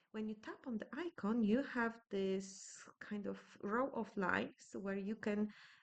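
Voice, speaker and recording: A woman with a Polish accent talks at a fairly slow pace. Her pitch is fairly high, with ordinary variation. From Poland. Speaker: scrapbooking youtuber. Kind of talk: tutorial. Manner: hesitant, with many filler sounds.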